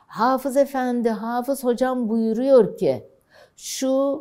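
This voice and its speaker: Very slow speech from a woman with a dark, mellow tone, over a quiet background. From Elazığ, eastern Turkey; Turkey. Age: 70s. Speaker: oral history interviewee; interviewee. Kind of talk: life story interview. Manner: halting. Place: studio. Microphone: lapel.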